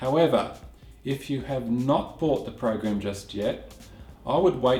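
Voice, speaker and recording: Speech at a moderate pace carries audible room echo, with faint music in the background. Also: man. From Australia. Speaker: video editing tutor, channel host. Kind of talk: tutorial Q&A. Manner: casual. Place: home room.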